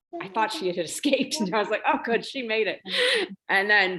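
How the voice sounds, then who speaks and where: A woman with an American accent, very fast pace and lively intonation. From upstate New York, Lake Placid. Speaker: book club member. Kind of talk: book club discussion. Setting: video call.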